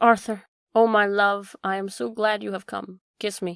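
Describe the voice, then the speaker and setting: Putting on a character voice, a soft-spoken woman talks at a moderate pace and medium pitch, with ordinary pitch variation and big swings in loudness. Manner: languid, sensual, dreamy.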